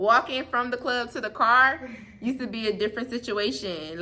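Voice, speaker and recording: A woman is speaking. There is noticeable background noise. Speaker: YouTuber. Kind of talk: casual chat. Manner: loud.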